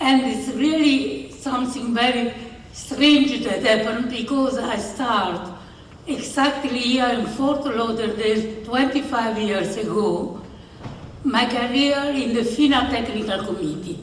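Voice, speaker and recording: With an Italian accent, a woman speaks high-pitched at a fairly slow pace with ordinary pitch variation, amid audible room echo and noticeable background noise. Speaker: award recipient, sports official. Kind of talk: acceptance speech.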